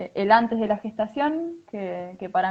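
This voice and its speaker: A woman talks at a moderate pace. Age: 20s. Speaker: mother sharing birth story. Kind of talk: testimony. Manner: halting.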